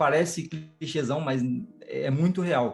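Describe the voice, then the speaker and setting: Over music in the background, a man with a fairly high-pitched voice talks at a fairly slow pace with ordinary pitch variation. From Brazil, São Paulo (Grajaú, south zone). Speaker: music producer and composer. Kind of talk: casual interview chat. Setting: podcast.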